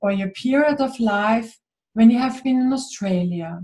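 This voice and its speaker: A woman speaks with a German accent in a fairly high pitch. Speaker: spiritual author and interviewer. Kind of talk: interview.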